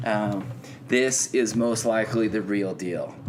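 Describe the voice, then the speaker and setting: A man at a fairly slow pace with music in the background. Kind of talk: sarcastic podcast rant, promo-style callout addressed to a named person.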